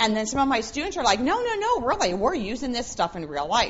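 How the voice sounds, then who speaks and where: A woman speaks amid noticeable background noise. Audible room echo fills the space. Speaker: professor and forensics speaker. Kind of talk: conference talk. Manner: loud.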